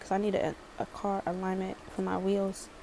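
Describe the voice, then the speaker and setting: A woman with a slight Baltimore accent at medium pitch and a moderate pace. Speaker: storytime vlogger. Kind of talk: storytime.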